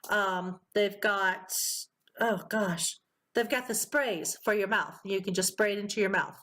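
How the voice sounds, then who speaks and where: A woman speaks at a fairly slow pace with very even loudness. Her tone is bright and sharp, and her intonation stays fairly even. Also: medium pitch for a woman. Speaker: podcast host. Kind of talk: casual interview chat.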